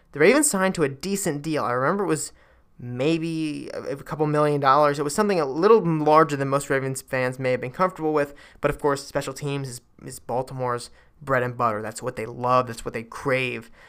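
Speaking fairly quickly on a very clean recording with a silent background, a man uses a fairly high pitch with ordinary pitch variation. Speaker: sports podcast host. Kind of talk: solo sports commentary podcast. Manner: fast; filler-heavy, casual.

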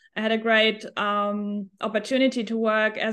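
Against a quiet background, a woman with a German accent speaks at a moderate pace and a fairly high pitch. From Germany. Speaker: hospitality tech entrepreneur. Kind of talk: interview.

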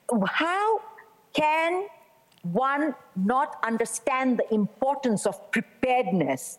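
A woman speaks at a high pitch with very wide pitch swings. Noticeable background noise is present. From France. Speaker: NGO founder and director. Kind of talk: panel discussion.

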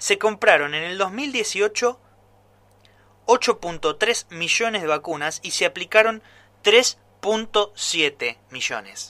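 A raised, projected voice at a very slow pace, bright and sharp in tone, with lively intonation and big swings in loudness, dry and close with no echo in a very clean recording over a silent background. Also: man, high pitch for a man. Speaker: radio commentator. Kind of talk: editorial commentary.

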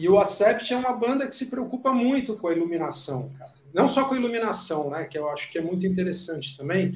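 A man with a high-pitched voice talks at a fairly quick clip, hardly pausing, his pitch swinging very widely and his loudness rising and falling sharply. Noticeable background noise and audible room echo fill the recording. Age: 50s. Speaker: concert photographer and show host. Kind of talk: casual chat.

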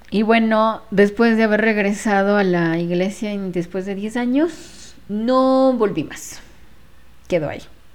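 A woman's very slow speech with ordinary pitch variation and big swings in loudness. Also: medium pitch for a woman. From Ecuador, Quito. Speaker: spiritual healer. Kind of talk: casual monologue. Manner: hesitant, with fillers.

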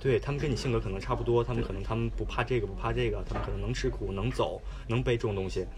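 Noticeable background noise and audible room echo fill the recording. A man speaks at a very fast pace. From China. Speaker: university student and hitchhiking traveler. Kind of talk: casual interview chat.

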